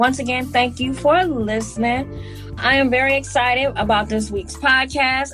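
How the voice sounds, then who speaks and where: Music plays in the background as a woman speaks at a moderate pace with hardly any pauses. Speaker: podcast host. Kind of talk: podcast interview.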